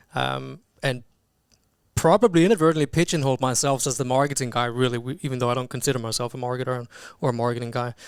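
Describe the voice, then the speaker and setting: Here a man speaks at a very fast pace. His pitch is medium. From Denmark. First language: Danish. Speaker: chief marketing officer. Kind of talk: podcast interview. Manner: halting, many fillers and repeated words.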